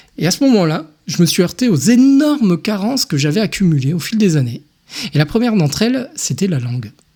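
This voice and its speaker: With very wide pitch swings, a man speaks at a fairly quick pace. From France (Tunisian-born, raised in France from age one). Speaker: podcast host. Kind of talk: personal monologue podcast. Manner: hesitant, many fillers.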